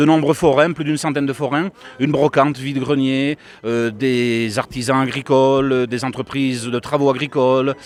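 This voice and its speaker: Against noticeable background noise, a man with a medium pitch talks at a moderate pace with fairly even intonation. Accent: regional French. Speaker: mayor. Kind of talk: public address; interview.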